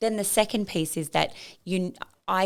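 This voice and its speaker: Talking at a fairly quick pace, a woman with an Australian accent shows vocal fry on a very clean recording with a silent background. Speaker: e-commerce founder and business coach. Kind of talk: podcast interview. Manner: loud; animated.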